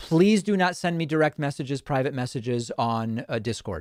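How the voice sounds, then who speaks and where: A man with a normal speaking voice talks at a moderate pace, his fairly high pitch carrying lively intonation. The sound is dry and close with no echo. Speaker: political commentator. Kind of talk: live call-in show.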